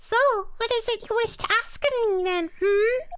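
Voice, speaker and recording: A put-on character voice, extremely high in pitch, moves along at a moderate pace. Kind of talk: live game stream voice acting. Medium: role play. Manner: coy, sugary.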